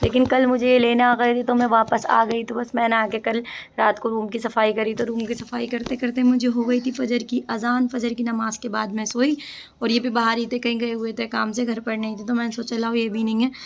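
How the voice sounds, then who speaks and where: A fairly high-pitched woman talks at a fairly quick pace with monotone, flat intonation. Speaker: family vlogger. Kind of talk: casual vlog chat.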